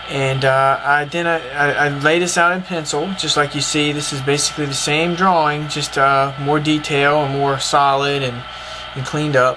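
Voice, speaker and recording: A man with a Southern US accent talks at a moderate pace in a fairly high pitch. His intonation is monotone and flat, and there is noticeable background noise. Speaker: cartoonist. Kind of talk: casual art tutorial to camera.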